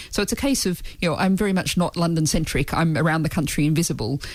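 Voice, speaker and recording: Words come at a very fast pace in an Australian accent. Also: woman. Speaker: party leader, politician. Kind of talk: radio interview.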